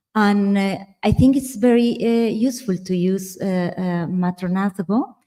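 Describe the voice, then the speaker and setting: With a Spanish accent and a dark, mellow tone, a woman speaks at a fairly slow pace in a medium pitch with ordinary variation. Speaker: architectural historian. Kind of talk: symposium discussion. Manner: halting, many fillers.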